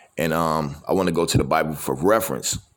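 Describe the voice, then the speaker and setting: A man talks at a fairly quick pace with vocal fry. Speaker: podcast host giving a message. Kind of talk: sermon-style motivational talk. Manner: casual, conversational, repeats filler phrases.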